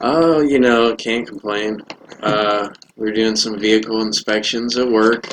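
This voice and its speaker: Mumbling quietly at a fairly slow pace, a man with a fairly low pitch talks in a monotone, flat way over noticeable background noise. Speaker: podcast guest, facilities worker. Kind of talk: casual chat.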